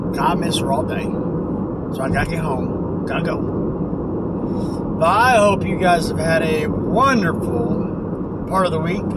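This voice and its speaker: Loud background noise runs under dry, echo-free speech that moves at a fairly slow pace with long, frequent pauses and ordinary pitch variation. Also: man. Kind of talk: casual vlog chat. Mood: upbeat, playful. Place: car. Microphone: phone near.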